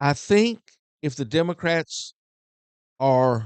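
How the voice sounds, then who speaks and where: Recorded dry and close with no echo, a man speaks at a very slow pace with lively intonation. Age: 70s. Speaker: guest commentator. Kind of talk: casual panel discussion. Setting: studio.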